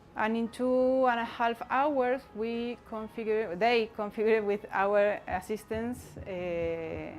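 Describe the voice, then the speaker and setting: A woman's fairly high voice in a Spanish accent, with fairly even intonation, hardly any pauses and a very slow pace. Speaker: community network activist. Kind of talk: conference talk. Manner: halting, many fillers.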